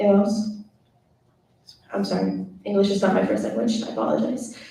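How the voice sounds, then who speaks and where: A woman speaks with a Spanish accent, with audible room echo around her voice. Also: moderate pace. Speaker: student government officer. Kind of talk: meeting report. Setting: meeting room, live streamed. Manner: reading prepared report.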